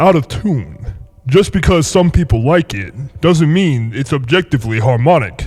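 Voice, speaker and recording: Somewhat breathy, a man speaks at a fairly high pitch with very wide pitch swings. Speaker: YouTube voice commentator. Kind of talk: video essay commentary.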